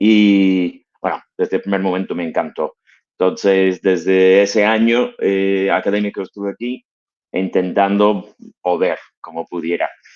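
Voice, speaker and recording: A man with a non-native accent speaks at a fairly slow pace in a fairly low pitch with monotone, flat intonation. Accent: foreign accent in Spanish. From US, Connecticut. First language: English (speaking Spanish). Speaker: fitness franchise executive. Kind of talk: interview.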